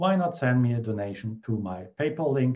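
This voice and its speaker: A man talks with a German accent. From Germany. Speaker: feng shui consultant. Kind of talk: tutorial.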